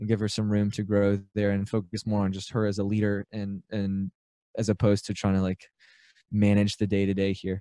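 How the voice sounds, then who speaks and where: With an Alabama accent, a dark, mellow tone comes through at a fairly quick pace, in a dry, close sound with no echo against a quiet background. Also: man. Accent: Southern US (Alabama). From US South, Birmingham, Alabama. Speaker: aspiring business buyer, small business owner. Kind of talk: interview. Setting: remote call with good audio gear.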